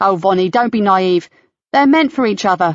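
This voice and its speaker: Using a put-on character voice, a woman talks with lively intonation at a very even loudness. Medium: read story. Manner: cheeky, playful.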